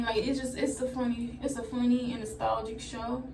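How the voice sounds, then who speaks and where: A woman speaks at a moderate pace and fairly high pitch with monotone, flat intonation, amid noticeable background noise and audible room echo. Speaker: vlogger. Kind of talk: casual vlog talk while doing hair. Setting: bathroom, doing hair.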